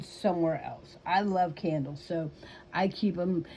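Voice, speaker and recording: With an American accent, a woman speaks at a fairly slow pace and medium pitch. Her voice is somewhat breathy, with ordinary pitch variation. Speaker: YouTuber. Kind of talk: casual chat. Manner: hesitant, with fillers.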